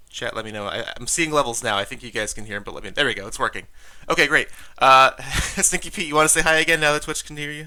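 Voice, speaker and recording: A man speaks at a very fast pace in a fairly high pitch, with a bright, sharp, animated tone. His intonation is lively and his loudness swings widely. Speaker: game stream host and commentator. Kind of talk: live game stream commentary. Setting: live Twitch stream.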